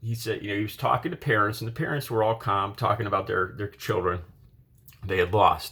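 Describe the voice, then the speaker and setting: A man with an American accent at a very fast pace, medium in pitch, with a bright, sharp tone. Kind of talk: casual political commentary to camera. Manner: hesitant, conversational.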